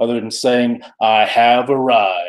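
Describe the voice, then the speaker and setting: A man with an Alabama accent talks at a medium pitch. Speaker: comic book collector youtuber. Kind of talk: live stream chat. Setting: live stream. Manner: casual, halting.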